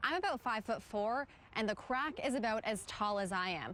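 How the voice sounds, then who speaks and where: This woman has a normal speaking voice, pitched fairly high. She talks at a moderate pace with lively intonation. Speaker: television news reporter and anchor. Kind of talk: news anchor and reporter broadcast delivery. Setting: on location, standing reporter piece.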